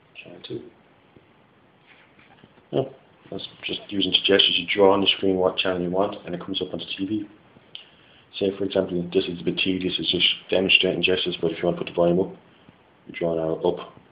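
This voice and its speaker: A man talks very fast but leaves long, frequent pauses, and his loudness swings widely. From West Clare, Ireland. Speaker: engineering student. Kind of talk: product demo talk to camera. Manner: casual, hesitant. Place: home room. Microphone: phone near.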